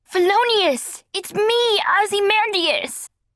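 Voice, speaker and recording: A woman puts on a character voice. Her pitch is extremely high. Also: fairly slow pace. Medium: read story. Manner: frantic, fussy.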